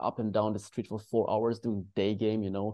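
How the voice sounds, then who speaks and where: A man talks at a fairly quick pace with a non-native accent. His pitch is fairly low and his intonation monotone and flat. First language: not English. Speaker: dating coach. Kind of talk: panel discussion. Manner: halting.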